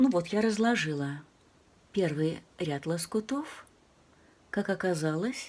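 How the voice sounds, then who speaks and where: A soft-spoken woman talks at a fairly slow pace with a medium pitch. Her tone is dark and mellow, and her intonation is lively. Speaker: crafts channel host. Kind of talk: tutorial.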